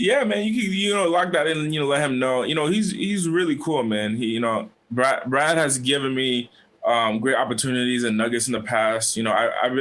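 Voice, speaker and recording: Audible room echo surrounds a man speaking at a fairly quick pace and medium pitch. His intonation is lively and his loudness very even. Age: 20s. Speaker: entrepreneur and motivational speaker. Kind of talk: casual interview chat.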